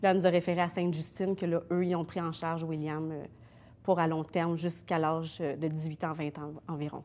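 Monotone, flat intonation from a woman at a fairly low pitch. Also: moderate pace. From Quebec. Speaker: mother of a sick child. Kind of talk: interview. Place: studio.

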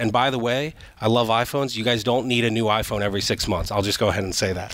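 At a very fast pace, a man speaks at medium pitch with fairly even intonation and a dry sound with no echo. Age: 30s. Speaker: realtor; guest. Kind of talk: casual chat. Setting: stage with audience. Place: studio. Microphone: headset.

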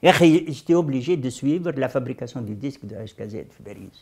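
A man speaks at a fairly quick pace. The background is quiet. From Tunisia, Sahel (Moknine); Tunisia. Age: 70s. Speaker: veteran leftist activist; interviewee. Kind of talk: testimony interview. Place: office.

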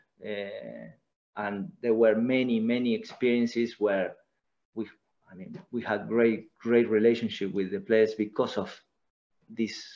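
Against a quiet background, a man with an Argentine accent talks at a fairly slow pace. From Argentina. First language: Spanish. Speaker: former footballer and coach; coach. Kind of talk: casual interview. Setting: video call. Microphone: video call.

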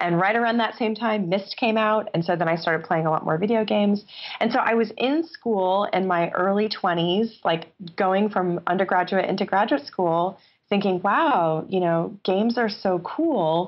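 A woman speaks with a New York State accent at a moderate pace. Her loudness stays very even. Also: medium pitch for a woman, ordinary pitch variation. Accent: American (New York State). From upstate New York. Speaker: game designer and professor. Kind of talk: interview.

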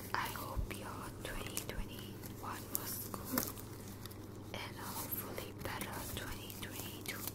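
Very slow, soft-spoken whispering. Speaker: virtual character host. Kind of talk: casual vlog chat. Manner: soft intimate ASMR whisper.

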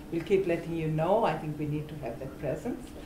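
Amid light background noise and audible room echo, a woman talks in a fairly low pitch with ordinary pitch variation. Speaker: activist coordinator. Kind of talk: rally speech. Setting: outdoor vigil and rally. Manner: earnest, conversational. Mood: earnest, organizing. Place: office. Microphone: camera far.

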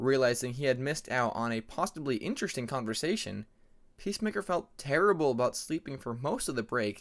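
The speaker is reading aloud in a natural voice, with lively intonation throughout.

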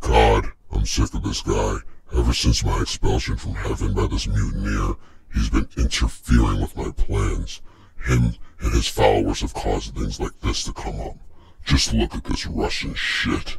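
A man speaks at a moderate pace. His pitch is very deep and low. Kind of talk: mock news anchor delivery. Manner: theatrically disgusted, then gloating and sinister; resentful toward heaven.

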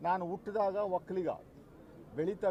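The speaker is a man with a high pitch. Light background noise can be heard. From Karnataka, Bengaluru Rural; Karnataka. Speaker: election candidate. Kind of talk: press statement. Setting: in front of media. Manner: emphatic. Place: street. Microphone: handheld.

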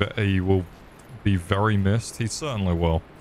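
A fairly low-pitched man at a moderate pace, with ordinary pitch variation. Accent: British. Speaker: gaming streamer. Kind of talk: live gameplay commentary. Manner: animated.

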